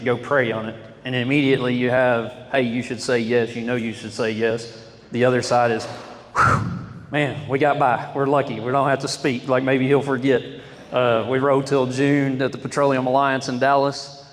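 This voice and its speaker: A man with an American accent speaks at a medium pitch in a monotone, flat delivery. The room echo is audible and the background noise is noticeable. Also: moderate pace. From Oklahoma. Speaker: oilfield sales rep giving a talk. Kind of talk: testimony. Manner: loud.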